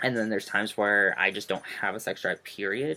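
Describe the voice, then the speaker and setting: A man with a fairly low pitch speaks very fast, keeping his intonation fairly even. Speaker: vlogger. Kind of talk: casual vlog. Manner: hesitant, many fillers.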